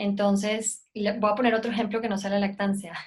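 A woman speaks at a moderate pace with a coastal Mexican accent, her fairly high voice somewhat breathy. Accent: coastal Mexican accent, remarked on by hosts. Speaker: lactation specialist. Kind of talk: casual interview chat. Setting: video call.

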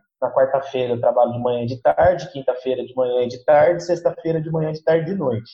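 A man with an unremarkable speaking voice. His pitch sits fairly high and varies an ordinary amount. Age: 20s. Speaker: schoolteacher. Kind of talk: interview.

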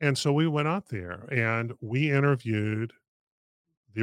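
A man with an American accent and an ordinary speaking voice, medium in pitch, with lively intonation. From North Carolina. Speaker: podcast host and financial planner. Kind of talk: casual interview. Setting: studio.

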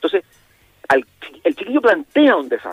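A man speaks with a Chilean accent. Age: 60s. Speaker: youth mentoring program director. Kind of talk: interview.

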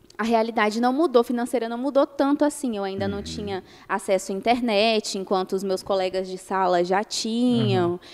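Speaking at a moderate pace, a woman with an unremarkable speaking voice uses a fairly high pitch and ordinary pitch variation. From Brazil, Minas Gerais. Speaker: lawyer. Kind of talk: interview.

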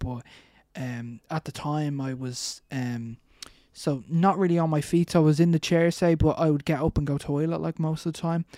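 A man with an Irish accent speaks at a moderate pace in a dark, mellow tone, with ordinary pitch variation. The recording is very clean, with a silent background and a dry, close sound with no echo. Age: 20s. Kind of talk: interview.

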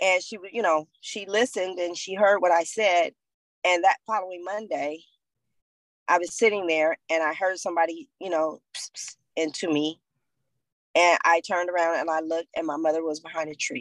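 A woman with an American accent speaks at a moderate pace with fairly even intonation and big swings in loudness, in a dry, close sound with no echo. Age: 50s. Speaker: abuse survivor. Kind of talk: testimony.

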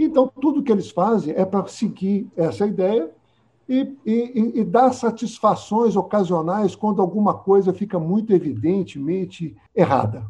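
Lively in intonation, a man with a high pitch talks at a fairly slow pace. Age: 70s. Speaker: cartoonist and physician. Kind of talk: casual chat. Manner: halting, repeats words.

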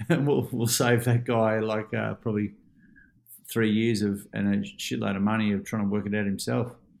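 Recorded very cleanly against a silent background, a man speaks at a moderate pace with fairly low pitch and fairly even intonation. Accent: Australian. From Australia. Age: 40s. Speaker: life coach and keynote speaker. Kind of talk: casual interview.

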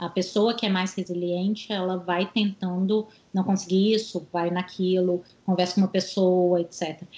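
A woman's dark, mellow voice at medium pitch, monotone and flat, fairly slow, against a quiet background. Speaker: psychologist and career coach. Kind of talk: interview.

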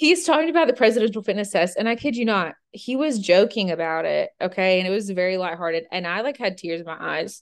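A woman's medium pitch and lively intonation in an American accent, at a very fast pace with hardly any pauses, over a quiet background. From Georgia, US. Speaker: podcast co-host. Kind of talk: casual chat.

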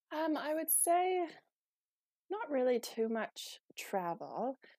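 On a very clean recording with a silent background and a dry, close sound with no echo, a woman speaks in a dark, mellow tone with lively intonation. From Canada, rural Manitoba. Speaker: trail runner and hiker. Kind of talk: casual interview chat.

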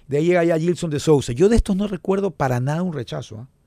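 In a very clean recording with a silent background, a man speaks in a dark, mellow tone with lively intonation. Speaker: sports radio host. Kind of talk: casual chat.

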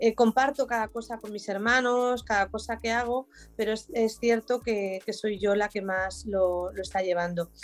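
A woman's fairly high voice at a moderate pace, with fairly even intonation, hardly any pauses, and a very clean recording against a silent background. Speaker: business owner. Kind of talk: interview. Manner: halting.

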